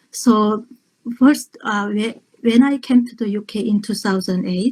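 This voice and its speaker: Very slow and somewhat breathy, a woman speaks with a fairly high pitch, a dark, mellow tone and ordinary pitch variation. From North Korea. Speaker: human rights activist and poet. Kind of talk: interview. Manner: halting.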